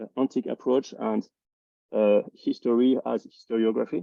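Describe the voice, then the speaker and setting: Speaking with a non-native accent, the man keeps his intonation fairly even. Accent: noticeable non-native. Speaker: philosophy academic, symposium organizer. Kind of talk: academic seminar presentation. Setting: video call. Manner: halting, many fillers and restarts.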